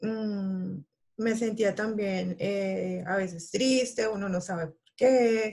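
A woman speaks at a very slow pace and a medium pitch, her somewhat breathy voice dark and mellow in tone, with fairly even intonation and big swings in loudness. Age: 30s. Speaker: guest sharing a health and weight-loss story. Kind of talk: casual interview. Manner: halting with many fillers.

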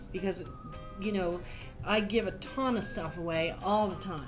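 A woman speaks in a Newfoundland accent at a medium pitch and a moderate pace. Music plays in the background. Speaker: podcast guest, tax and business advisor. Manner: casual, candid, salty humor.

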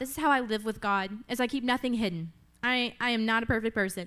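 In a very clean recording with a silent background, a woman with a high, bright, sharp voice speaks in an animated tone at a fairly quick pace with ordinary pitch variation. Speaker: preacher. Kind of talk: sermon. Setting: church.

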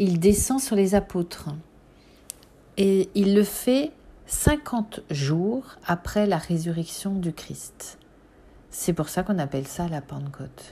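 Very slowly and with long, frequent pauses, a woman speaks in a somewhat breathy, dark, mellow tone at a medium pitch, her intonation lively. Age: 40s. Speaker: podcast host on symbolism and spirituality. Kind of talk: personal reflective monologue. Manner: hesitant, with fillers and repetitions.

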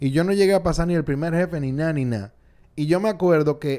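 In a Dominican accent, a man talks at a moderate pace. His dark, mellow tone carries lively intonation. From Dominican Republic, Santo Domingo. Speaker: podcast host. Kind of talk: casual chat. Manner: animated.

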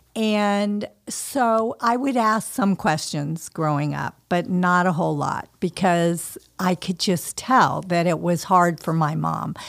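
A woman's fairly low voice at a very slow pace, with ordinary pitch variation and hardly any pauses, on a very clean recording with a silent background. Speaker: nonprofit co-founder. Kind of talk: interview. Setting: on location at organization's office.

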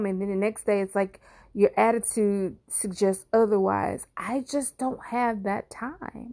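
A woman speaks at a fairly slow pace with fairly even intonation and a medium pitch, on a very clean recording with a silent background. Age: 40s. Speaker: podcast host. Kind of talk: personal monologue. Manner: halting.

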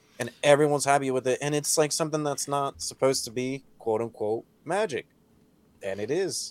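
At a fairly quick pace, a man speaks in a plain, everyday voice with ordinary pitch variation. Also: fairly high pitch for a man. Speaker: podcast host. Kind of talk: casual chat.

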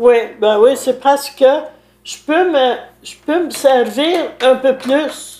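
A woman's high-pitched voice, very slow, with long, frequent pauses. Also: ordinary pitch variation. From Quebec, Lanaudière (Saint-Alphonse-Rodriguez). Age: 90s. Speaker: village elder. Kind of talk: interview.

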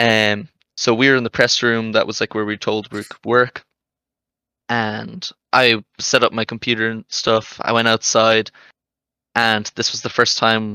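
Dry and close with no echo, a man with an Irish accent speaks at medium pitch and moderate pace in a bright, sharp tone with monotone, flat intonation. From Ireland. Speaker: esports journalist volunteer. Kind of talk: casual chat.

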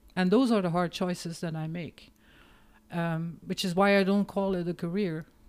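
A woman speaks in a Flemish accent at a fairly low pitch. Her intonation stays fairly even. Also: moderate pace, very clean recording, silent background. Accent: Flemish Dutch accent in English. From Belgium, East Flanders. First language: Dutch. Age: 50s. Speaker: marketing professional and author. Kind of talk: casual interview chat.

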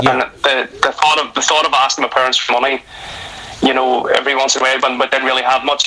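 In a Northern Irish accent, a man talks at a very fast pace with a medium pitch and monotone, flat intonation over noticeable background noise. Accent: Northern Irish (Belfast). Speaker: retired footballer and football coach. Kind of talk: casual interview.

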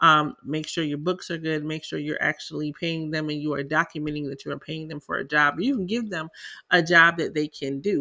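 Someone with a Southern US accent speaks at a moderate pace in a very clean recording with a silent background. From South Carolina. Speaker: tax preparer and podcast host. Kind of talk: casual educational talk, podcast monologue. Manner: conversational, filler-heavy.

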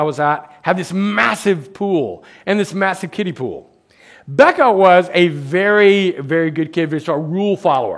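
A man talks at a moderate pace with an American accent. His pitch is high, with ordinary variation. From United States. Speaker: professor and guest preacher. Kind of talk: sermon. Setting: church. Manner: halting.

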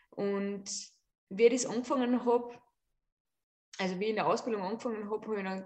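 A woman with a plain, everyday voice, medium pitch and ordinary pitch variation. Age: 30s. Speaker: yoga teacher and artist. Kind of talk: casual chat.

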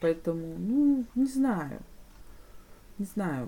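A woman speaks at a medium pitch and a very slow pace, her voice making very wide pitch swings. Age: 40s. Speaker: podcast co-host. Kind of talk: casual chat.

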